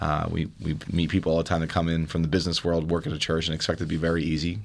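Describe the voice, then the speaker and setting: A man speaks very fast in a very deep, low voice with monotone, flat intonation, on a very clean recording with a silent background. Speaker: church staff author. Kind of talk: interview answers.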